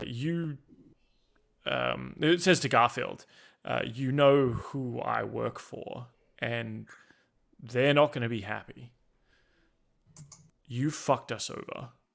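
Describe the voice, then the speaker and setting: A man puts on a character voice at a medium pitch, shaky and fairly slow, with long, frequent pauses. The recording is very clean, with a silent background. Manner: shaky, nervous.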